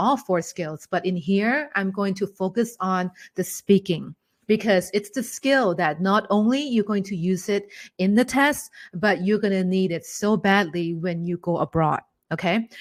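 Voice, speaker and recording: A woman speaks in a Thai accent at a medium pitch. Her pace is moderate, with ordinary pitch variation. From Thailand. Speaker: English teacher. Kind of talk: online webinar teaching. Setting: online webinar. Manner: animated.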